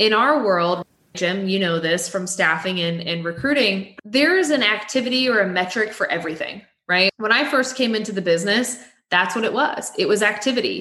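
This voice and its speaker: A woman with an American accent and a normal speaking voice talks at a medium pitch and moderate pace with lively intonation. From Texas, near Waco. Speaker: staffing firm regional director. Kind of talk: interview.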